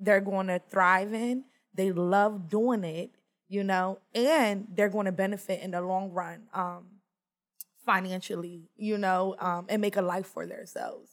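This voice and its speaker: An unremarkable speaking voice from a woman with an American accent, medium in pitch, fairly slow and fairly even in intonation. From US, small rural town. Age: 30s. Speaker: youth mentor. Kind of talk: casual chat.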